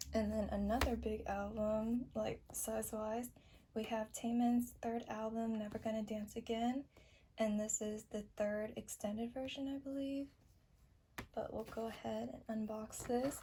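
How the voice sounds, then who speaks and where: A woman speaks fairly slowly in a fairly high, somewhat breathy voice with a dark, mellow tone and monotone, flat intonation. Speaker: kpop album haul youtuber. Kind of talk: unboxing video. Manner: casual, chatty.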